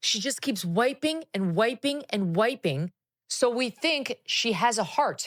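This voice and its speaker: With an American accent and an animated tone, the speaker moves at a fairly slow pace with lively intonation in a dry, close sound with no echo. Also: woman, fairly high pitch for a woman. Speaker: TV presenter. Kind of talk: casual chat.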